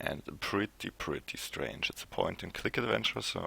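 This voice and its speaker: Vocal fry runs through a man's speech in a non-native accent. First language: not English. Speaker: video game streamer. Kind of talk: let's play commentary.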